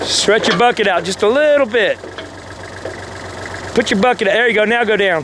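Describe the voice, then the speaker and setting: A loud man's voice, high-pitched and fairly quick, with ordinary pitch variation, long frequent pauses and noticeable background noise. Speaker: backhoe operator instructing a friend. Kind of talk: on-the-job instruction, casual chat. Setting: outdoors on a job site. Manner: talkative, rapid commands.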